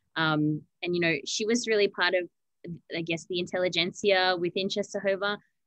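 An unremarkable speaking voice from a woman, fairly low in pitch, moves at a fairly quick pace with fairly even intonation. The sound is dry with no echo over a quiet background. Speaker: museum archivist; presenter. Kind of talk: educational webinar presentation. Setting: archive room, remote video. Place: home room. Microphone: video call.

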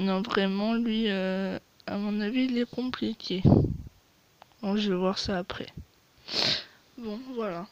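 A woman talks slowly at a medium pitch, her intonation fairly even. Her tone is slightly mellow, broken by long, frequent pauses.

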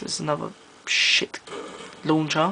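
This man has a London accent. He talks at a moderate pace. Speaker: gaming commentator. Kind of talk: gameplay commentary. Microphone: phone near.

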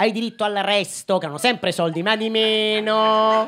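An animated man at a high pitch and a moderate pace, bright and sharp in tone. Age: 30s. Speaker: comedian. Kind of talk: stand-up. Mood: ironic, mock-nostalgic. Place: stage. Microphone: handheld.

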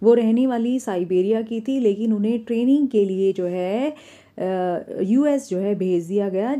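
Speaking in a dark, mellow tone, a woman lets her pitch vary in an ordinary way. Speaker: English teacher. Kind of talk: lecture.

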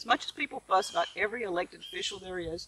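Noticeable background noise sits behind a woman speaking in a Mississippi accent. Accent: Southern US (Mississippi). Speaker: vlogger, homesteader. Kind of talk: casual vlog monologue. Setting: outdoors in the garden. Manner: animated.

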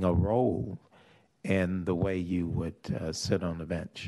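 The intonation stays fairly even. The background is quiet. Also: man. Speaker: legislator. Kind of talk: legislative committee hearing. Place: hall. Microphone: podium.

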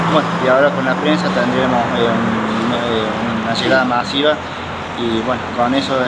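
Over loud background noise, a man talks with ordinary pitch variation. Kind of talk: interview answer. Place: garage.

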